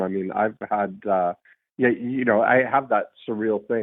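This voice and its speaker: A man with a plain, everyday voice speaks at a fairly slow pace. His pitch shows ordinary variation. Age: 50s. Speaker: podcast host. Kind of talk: casual chat. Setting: phone call.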